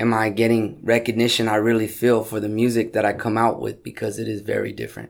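On a very clean recording with a silent background, a man talks at medium pitch. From Southern California, South Gate near Compton. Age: 30s. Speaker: rapper and businessman. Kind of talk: interview chat. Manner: hesitant, many fillers.

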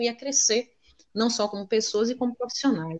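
Here a woman uses an ordinary speaking voice at a fairly high pitch. She talks at a fairly quick pace. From Salvador, Bahia, Brazil. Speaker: teacher and researcher. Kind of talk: casual interview chat.

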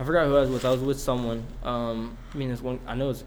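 Audible room echo surrounds a man speaking at a medium pitch and a fairly quick pace. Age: 20s. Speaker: podcast co-host. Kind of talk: casual storytelling. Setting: cold shed recording space. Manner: halting.

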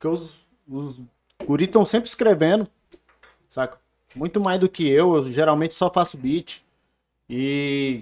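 Ordinary pitch variation at a fairly slow pace, broken by long, frequent pauses. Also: man, fairly high pitch for a man. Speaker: beatmaker. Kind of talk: casual chat.

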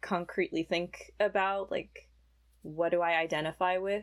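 In a very clean recording with a silent background, a woman with a fairly low pitch speaks at a moderate pace in a plain, everyday voice. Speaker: college student and pianist. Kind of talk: casual interview.

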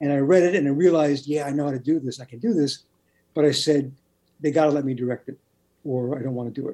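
Speaking at a very fast pace with long, frequent pauses, a man with an American accent has a fairly high pitch, a dark, mellow tone, ordinary pitch variation and big swings in loudness. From Brooklyn, New York. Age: middle-aged. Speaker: TV writer and novelist. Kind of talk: interview.

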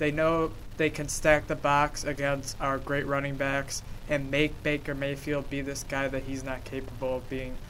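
At a moderate pace, a man speaks in a fairly high voice with monotone, flat intonation. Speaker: sports talk show panelist. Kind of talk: casual sports debate. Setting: studio.

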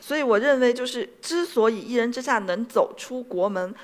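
A woman's fairly high-pitched voice at a moderate pace, with lively intonation. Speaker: anime company CEO giving a talk. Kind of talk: stage talk.

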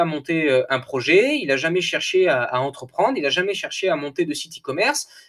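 Speaking at a moderate pace, a man with a high-pitched voice sounds energetic, his pitch swinging very widely. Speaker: coach and podcaster. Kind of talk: solo monologue podcast. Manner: hesitant, many fillers and repetitions.

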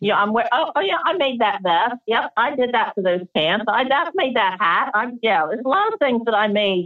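With an American accent and a plain, everyday voice, a woman speaks at a moderate pace in a fairly high pitch, with hardly any pauses and very even loudness. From Delaware, US. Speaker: craftswoman and photographer. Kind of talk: interview. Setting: remote call.

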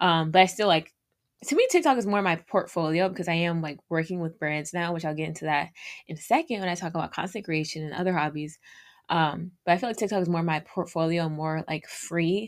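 A woman speaks at a fairly quick pace with fairly even intonation. The recording is very clean, with a silent background. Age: 20s. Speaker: solo podcaster and content creator. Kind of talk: casual monologue, audio diary. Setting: home recording with mic. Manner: rambling stream of consciousness.

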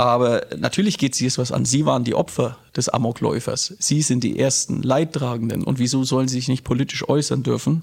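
This man talks at a fairly quick pace with vocal fry. His loudness stays very even. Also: medium pitch for a man, ordinary pitch variation. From Nuremberg, Franconia (born Berlin, moved at six). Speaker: politician and teacher. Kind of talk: interview conversation. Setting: in person, recorded in Erlangen.

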